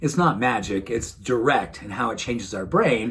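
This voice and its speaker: A man's warm, somewhat breathy voice with lively intonation. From New England. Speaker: wellness doctor. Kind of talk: motivational talk to camera. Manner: warm, earnest.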